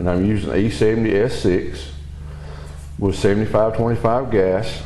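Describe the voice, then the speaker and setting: With a strong Southern US accent, a man speaks at a fairly slow pace in a fairly low voice with ordinary pitch variation. Noticeable background noise and audible room echo fill the recording. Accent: heavy Southern US. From US South (Southeast). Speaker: welding hobbyist reviewing equipment. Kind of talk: product review demonstration. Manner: casual, hesitant with fillers.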